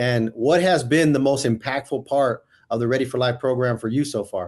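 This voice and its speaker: With a normal speaking voice, a man holds a medium pitch that rises and falls in an ordinary way. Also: moderate pace. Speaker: podcast host. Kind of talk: podcast interview.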